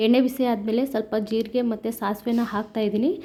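This is a woman speaking. Her voice is fairly high in pitch and dark and mellow in tone. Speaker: cooking vlogger. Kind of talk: cooking tutorial.

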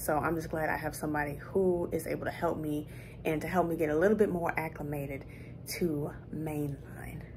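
A woman's very deep, low voice with ordinary pitch variation at a moderate pace, over noticeable background noise. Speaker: flight attendant vlogger. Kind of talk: casual vlog chat. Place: home room. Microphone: phone near.

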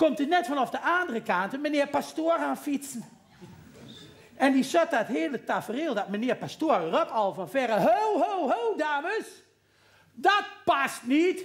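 The pitch swings very widely. The pace is fairly slow. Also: man, extremely high pitch for a man. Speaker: comedy performer. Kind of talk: stage comedy storytelling. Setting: live theatre audience. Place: stage. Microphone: headset.

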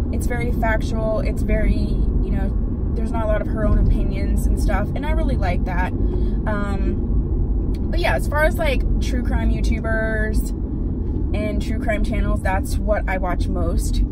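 A woman speaks at a moderate pace as loud noise fills the background. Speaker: beauty vlogger. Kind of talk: casual vlog chat. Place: car. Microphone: phone near.

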